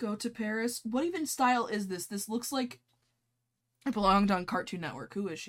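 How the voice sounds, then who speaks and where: Very clean recording, silent background, with a woman speaking at a fairly quick pace. She has a plain, everyday voice, fairly high in pitch, with lively intonation. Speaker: podcast host. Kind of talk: casual chat.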